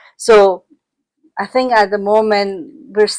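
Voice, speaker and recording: A woman's medium-pitched voice with a non-native accent, at a moderate pace, dry and close with no echo. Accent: foreign accent in English. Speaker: care business owner. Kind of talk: casual chat.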